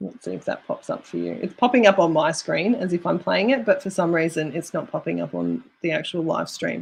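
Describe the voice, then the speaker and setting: Speaking fairly quickly, a woman has an Australian accent. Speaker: YouTube creator coach. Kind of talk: live stream tutorial.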